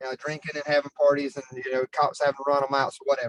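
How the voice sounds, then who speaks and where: A man is speaking. He has a Southern US accent. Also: dry, close sound with no echo. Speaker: city parks staff member. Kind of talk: public meeting discussion. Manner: fast.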